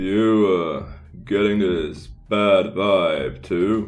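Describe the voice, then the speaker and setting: Putting on a character voice, a man speaks at a fairly low pitch and a very slow pace, with audible echo. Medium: audio drama. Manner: hushed.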